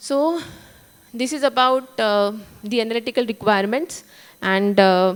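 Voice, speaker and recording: Speaking at a moderate pace with long, frequent pauses, a woman uses a fairly high pitch, ordinary pitch variation and an Indian accent. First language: Marathi. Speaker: food testing lab director. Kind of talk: conference talk. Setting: conference stage.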